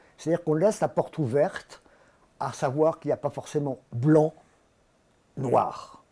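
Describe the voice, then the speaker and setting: This man's voice has a dark, mellow tone and fairly high pitch with ordinary variation. He leaves long, frequent pauses. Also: moderate pace. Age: 70s. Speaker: satirical cartoonist. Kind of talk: interview.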